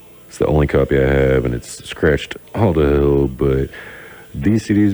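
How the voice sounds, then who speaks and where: Noticeable background noise behind a man's very deep, low pitch. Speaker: radio DJ. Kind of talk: live radio talk. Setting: radio studio. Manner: casual, halting with fillers.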